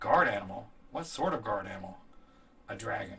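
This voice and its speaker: Putting on a character voice, a man talks at a fairly quick pace in a fairly low pitch. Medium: read story.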